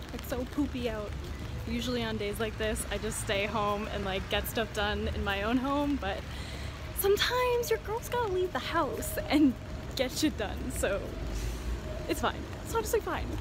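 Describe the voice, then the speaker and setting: Over music in the background, a woman talks at a moderate pace with long, frequent pauses, the sound dry with no echo. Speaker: vlogger. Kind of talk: casual vlog chat. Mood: cheerful, upbeat. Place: street. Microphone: phone near.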